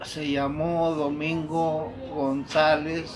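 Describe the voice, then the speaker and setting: Amid noticeable background noise and audible room echo, a man with a fairly high pitch speaks at a very slow pace. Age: 70s. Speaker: elder telling family history. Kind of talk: oral history interview. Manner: halting.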